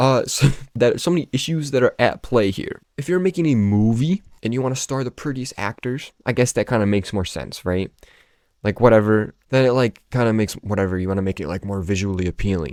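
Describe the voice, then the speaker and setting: With a plain, everyday voice, a man speaks fairly quickly at a medium pitch, his intonation lively and the sound dry and close with no echo. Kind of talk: casual talk to camera. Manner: casual, rambling.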